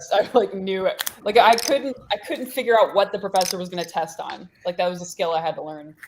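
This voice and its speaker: Mumbling at a fairly quick pace with hardly any pauses, lively intonation, big swings in loudness and noticeable background noise. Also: woman, medium pitch for a woman. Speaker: poker player. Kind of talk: casual chat. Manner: fast.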